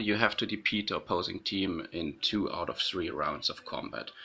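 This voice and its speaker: The tone of this man's voice is bright and sharp. He has a non-native accent. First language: not English. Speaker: gaming YouTuber. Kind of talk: gameplay commentary. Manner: hesitant, many fillers.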